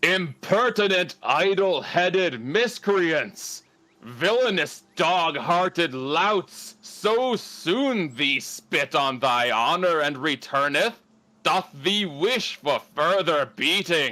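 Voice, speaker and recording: A man uses a put-on character voice at a high pitch. He speaks very slowly. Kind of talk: archaic, thee/thou.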